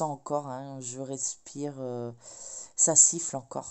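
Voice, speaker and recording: Soft-spoken, very slow delivery with monotone, flat intonation. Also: woman. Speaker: crafting vlogger. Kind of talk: casual vlog chat. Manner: hesitant, many fillers.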